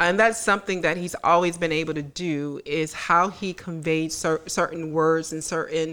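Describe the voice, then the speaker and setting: Speaking at a fairly slow pace, a woman with an American accent has a fairly low-pitched, bright, sharp voice and fairly even intonation. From US South, Tallahassee, Florida. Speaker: podcast co-host, social worker. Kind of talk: casual chat. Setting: studio.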